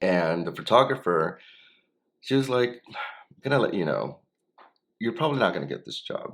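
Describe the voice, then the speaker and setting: Long, frequent pauses from a man speaking at a moderate speed. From Los Angeles, Koreatown. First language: Spanish. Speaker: actor and hand model. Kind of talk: interview. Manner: casual, filler-heavy.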